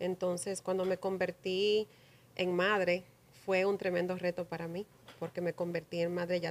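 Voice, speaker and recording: Pitched fairly low, a woman speaks at a fairly slow pace in a monotone, flat intonation. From New Jersey, US (Paterson), Dominican mother; New Jersey. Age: 40s. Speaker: community leader; podcast guest. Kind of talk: interview. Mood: warm, reflective, proud. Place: studio. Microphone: studio mic.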